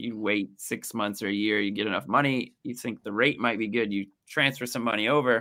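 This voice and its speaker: A very fast American accent with a bright, sharp tone, in a very clean recording with a silent background. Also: man. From US, Kansas City area. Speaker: translator and real estate specialist. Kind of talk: casual interview.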